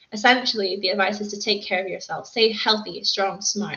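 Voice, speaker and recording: A woman with a medium pitch rushes along at a very fast pace in a flat, monotone delivery, with noticeable background noise behind her. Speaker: wellness coach. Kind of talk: online talk to camera.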